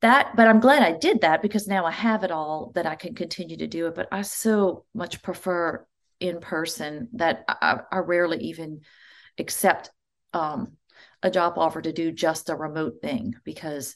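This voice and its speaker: With an American accent and a fairly low pitch, a woman speaks at a moderate pace with ordinary pitch variation in a normal speaking voice against a quiet background. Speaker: church music director. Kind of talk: interview.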